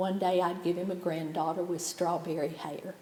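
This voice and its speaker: Audible room echo surrounds a woman with a Southern Appalachian accent. She has a medium pitch and a moderate pace. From East Tennessee, Sevier County. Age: 70s. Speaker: poet. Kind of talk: poetry reading.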